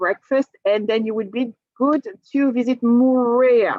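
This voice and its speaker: A high-pitched woman's voice in a French accent. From France, Normandy. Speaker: cruise line sales presenter. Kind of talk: sales presentation. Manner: animated.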